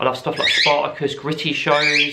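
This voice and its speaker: With an English accent, a man speaks at a moderate pace amid audible room echo and noticeable background noise. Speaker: parrot YouTuber. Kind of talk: casual chat.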